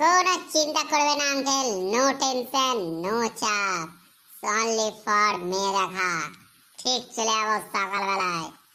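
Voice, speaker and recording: This is a cartoonish character voice that sounds female. It has a fairly high pitch and a moderate pace. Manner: brash, boastful.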